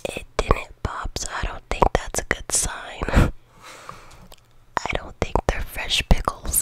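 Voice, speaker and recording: Very slowly, a woman is whispering. Long pauses come often. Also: big swings in loudness. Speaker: vlogger. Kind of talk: casual talk to camera. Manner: casual, joking, profane. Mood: joking, mocking, irreverent. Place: home room. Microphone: studio mic.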